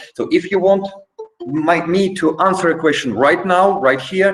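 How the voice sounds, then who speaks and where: With a Polish accent, a man speaks at a very slow pace in a high voice. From Poland. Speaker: trainer. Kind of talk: online training session. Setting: video call. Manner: halting.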